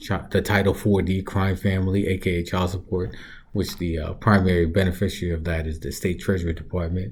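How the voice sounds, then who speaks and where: Somewhat breathy and very deep in pitch, a man speaks fairly quickly with fairly even intonation. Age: 40s. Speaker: reaction video host. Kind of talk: casual commentary. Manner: casual, with fillers.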